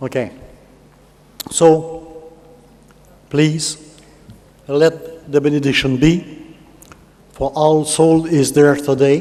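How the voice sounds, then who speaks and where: Amid noticeable background noise, a man with a French Canadian accent speaks at a very slow pace and a fairly high pitch, with monotone, flat intonation and long, frequent pauses. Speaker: conference speaker. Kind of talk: speech to an audience. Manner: halting.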